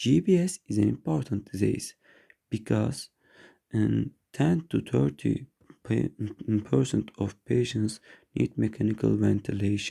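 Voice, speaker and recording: With a non-native accent, a man speaks at very even loudness, leaving long, frequent pauses. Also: fairly slow pace. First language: not English. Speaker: neurology resident. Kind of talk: medical lecture presentation. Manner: halting, with frequent restarts.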